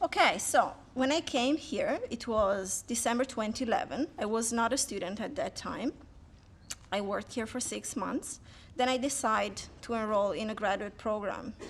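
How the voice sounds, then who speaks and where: A woman speaks with a slight Italian accent. Her pace is moderate and her intonation lively. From Italy. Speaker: PhD student. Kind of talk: speech to an audience.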